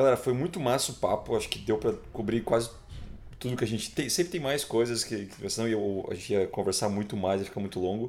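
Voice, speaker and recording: A man with a Brazilian accent at a very fast pace, medium pitch and ordinary pitch variation. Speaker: podcast host. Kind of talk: casual chat.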